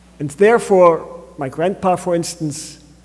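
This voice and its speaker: At a very slow pace, a man speaks at a high pitch with ordinary pitch variation. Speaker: pastor. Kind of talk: sermon. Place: church. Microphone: podium.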